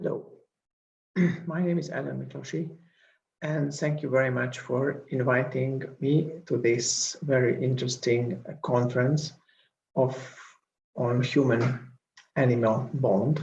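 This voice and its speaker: A man with a Hungarian accent speaks at a fairly slow pace with long, frequent pauses, medium pitch, fairly even intonation and vocal fry, amid audible room echo. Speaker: professor and researcher. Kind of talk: conference lecture.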